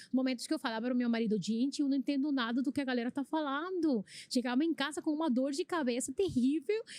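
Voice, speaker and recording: A woman rushes along at a very fast pace with hardly any pauses, her loudness very even and her pitch varying in an ordinary way. The sound is dry and close, with no echo. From Venezuela. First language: Spanish (speaking Portuguese). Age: 30s. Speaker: immigrant church volunteer. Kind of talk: podcast testimony. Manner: halting.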